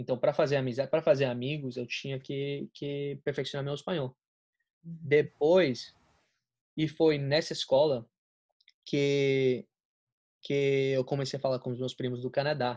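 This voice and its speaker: This man's voice sits at a fairly high pitch, and his intonation stays fairly even. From Colombia, raised in Florida, USA. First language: Spanish (speaking Portuguese). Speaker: college student, friend of host. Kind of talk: casual chat.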